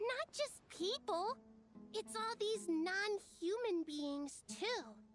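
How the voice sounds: A woman's put-on character voice at an extremely high pitch, slow, with lively intonation and faint music in the background.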